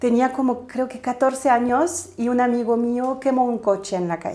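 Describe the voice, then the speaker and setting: Her tone dark and mellow, a woman speaks with a French accent. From southern France, Toulouse. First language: French (speaking Spanish). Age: 30s. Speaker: spiritual coach and aura reader. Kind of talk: interview conversation.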